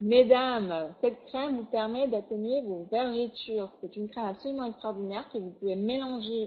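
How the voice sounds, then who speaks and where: Ordinary pitch variation in a woman's fairly high voice, at a moderate pace. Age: 40s. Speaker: product distributor presenter. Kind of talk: sales pitch. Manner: animated.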